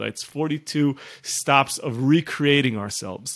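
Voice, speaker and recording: The intonation is fairly even. The sound is dry and close, with no echo. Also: man. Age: 40s. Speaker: rabbi and author. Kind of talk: interview conversation. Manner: halting with repeated words.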